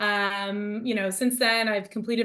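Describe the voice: Her medium-pitched voice, fairly bright in tone, moves at a moderate pace with little pitch movement as the woman speaks.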